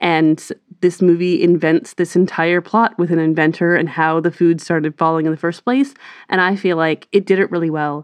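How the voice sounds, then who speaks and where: In a quiet background, a woman with an ordinary speaking voice talks at a moderate pace and fairly low pitch, with fairly even intonation. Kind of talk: casual chat.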